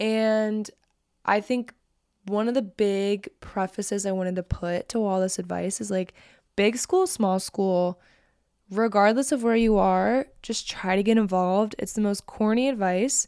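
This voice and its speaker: Fairly slow delivery in a dark, mellow tone, with fairly even intonation and a very clean recording over a silent background. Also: woman, medium pitch for a woman. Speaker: podcast host. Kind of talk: solo advice monologue.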